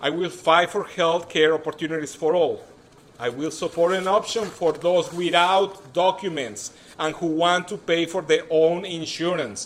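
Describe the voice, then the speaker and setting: Speaking at a moderate pace, a man with a strong Mexican accent uses a high pitch. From Mexico City. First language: Spanish. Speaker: political candidate. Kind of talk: campaign speech. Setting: stage with audience.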